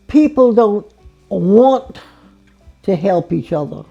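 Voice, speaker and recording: Music plays in the background. A woman with a medium pitch speaks at a very slow pace with lively intonation. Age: 80s+. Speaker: elderly interviewee. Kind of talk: interview. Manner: halting.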